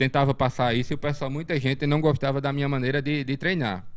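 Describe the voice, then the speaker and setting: This man talks at a fairly quick pace, his pitch fairly high. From Brazil, Pernambuco sertão (Sertânia area). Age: 40s. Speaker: martial arts instructor. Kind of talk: casual interview. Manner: halting, many fillers and repetitions.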